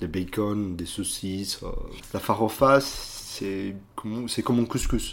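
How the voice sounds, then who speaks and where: This man talks very slowly. He has a fairly low voice. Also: ordinary pitch variation. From Brazil, Belo Horizonte (Minas Gerais). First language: Portuguese (speaking French). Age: 30s. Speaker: restaurant manager and former lawyer. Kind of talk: interview. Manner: halting.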